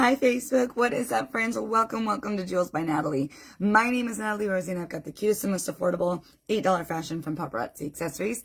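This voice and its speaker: A woman speaks at a very fast pace, at a medium pitch with very wide pitch swings. Her voice is somewhat breathy. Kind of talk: live sales stream. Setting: live social media video. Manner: casual, chatty.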